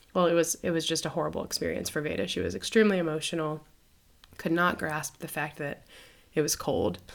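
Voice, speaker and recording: Using vocal fry and lively intonation, a woman with an American accent talks at a very fast pace in a very deep, low voice. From United States. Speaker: missionary podcast host. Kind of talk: casual conversation. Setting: recording while traveling in Ireland.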